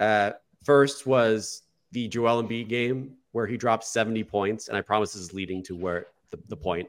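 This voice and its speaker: A man with an ordinary speaking voice talks at a moderate pace and medium pitch, with ordinary pitch variation and big swings in loudness. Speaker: podcast host. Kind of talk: casual sports podcast discussion. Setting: video call recording.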